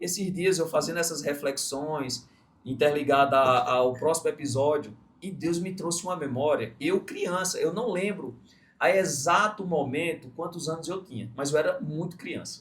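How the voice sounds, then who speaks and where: At a moderate pace, a man talks in a normal speaking voice, fairly high in pitch, with ordinary pitch variation. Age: 30s. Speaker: podcast host, entrepreneur. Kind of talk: interview podcast. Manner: casual, reflective storytelling.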